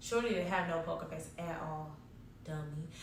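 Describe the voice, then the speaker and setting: A woman's animated tone, with audible room echo and noticeable background noise. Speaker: storytime vlogger. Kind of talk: storytime monologue.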